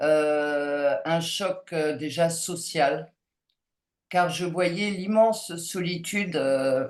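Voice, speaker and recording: This woman's pitch sits fairly low. She speaks at a very slow pace. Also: ordinary pitch variation. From France. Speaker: anthropologist. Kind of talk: Q&A talk. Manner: hesitant, many fillers.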